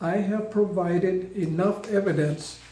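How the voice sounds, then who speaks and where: A man at a very slow pace, with fairly even intonation. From Mississippi, US South. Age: 80s+. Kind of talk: prepared personal statement, partly read.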